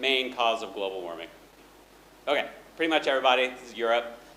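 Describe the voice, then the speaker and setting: With audible room echo around him, a man speaks at a fairly quick pace with lively intonation. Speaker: economist, conference speaker. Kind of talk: academic conference talk. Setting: conference hall with audience. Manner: loud.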